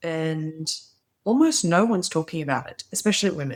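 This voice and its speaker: Speaking fairly quickly with an Australian accent, a woman uses a fairly low voice with ordinary pitch variation. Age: 40s. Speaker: former opera singer, teacher, voice mentor. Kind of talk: casual talk to camera.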